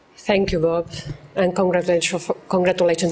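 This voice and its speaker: There is noticeable background noise as a woman speaks with a Catalan accent. Her pitch is fairly low. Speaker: law professor, clinic director. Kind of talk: conference talk. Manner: halting.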